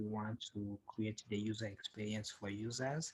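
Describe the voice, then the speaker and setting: A man's somewhat breathy, medium-pitched voice in a flat monotone. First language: not English. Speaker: software developer and tutorial creator. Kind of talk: tutorial. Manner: halting, many fillers.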